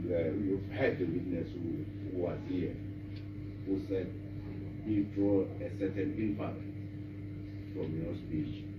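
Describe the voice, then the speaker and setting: The speaker talks at a fairly slow pace with noticeable background noise. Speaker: lawyer. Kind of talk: courtroom examination. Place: hall. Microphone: camera far.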